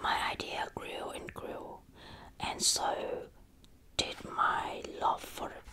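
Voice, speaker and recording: Whispering at a very slow pace, a woman uses a gentle tone with big swings in loudness. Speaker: ASMR creator. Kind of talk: soft storybook reading. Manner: soft, gentle ASMR reading voice. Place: home room. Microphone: earbuds.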